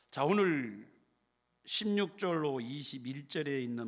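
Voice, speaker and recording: Speaking at a very slow pace, a man with a medium-pitched voice swings his pitch very widely while the room echo stays audible. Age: 70s. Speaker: retired pastor. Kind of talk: sermon. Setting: church.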